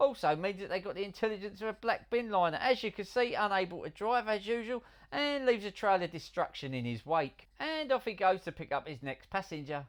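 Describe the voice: The speaker uses lively intonation at a fairly quick pace.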